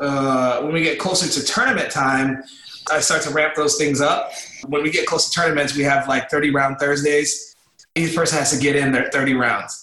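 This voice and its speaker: An American man speaks at a moderate pace, his pitch fairly high. His intonation is monotone and flat, and his loudness stays very even. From Los Angeles, US. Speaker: amateur sumo wrestler and coach. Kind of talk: recorded interview. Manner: casual, halting with repetitions.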